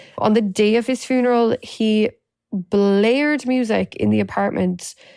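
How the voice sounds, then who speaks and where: A woman speaks in an Irish accent with lively intonation. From Ireland. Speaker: domestic abuse survivor and advocate. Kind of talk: personal testimony.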